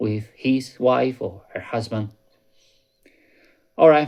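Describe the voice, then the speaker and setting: The recording is very clean with a silent background. A man speaks with ordinary pitch variation. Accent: non-native. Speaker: YouTuber warning about crypto scams. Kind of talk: casual vlog commentary. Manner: conversational, with fillers and repetitions.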